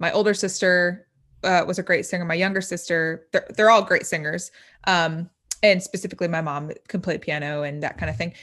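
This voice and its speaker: A woman with an American accent, an unremarkable speaking voice, fairly low in pitch, fairly quick and fairly even in intonation, over a quiet background. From US Midwest, Indiana. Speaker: rapper and social media influencer. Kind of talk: interview.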